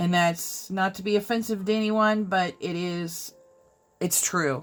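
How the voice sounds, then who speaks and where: A woman at medium pitch speaks in an ordinary speaking voice. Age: 40s. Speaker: craft YouTuber. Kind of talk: casual chat while coloring. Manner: casual, conversational.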